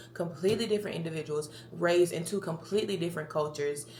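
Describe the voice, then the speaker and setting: A woman with an American accent speaks at a very fast pace in a fairly low pitch with ordinary pitch variation. Noticeable background noise is present. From Tennessee, near Memphis. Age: 20s. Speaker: podcast host. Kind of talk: casual monologue. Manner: chatty, rambling talker.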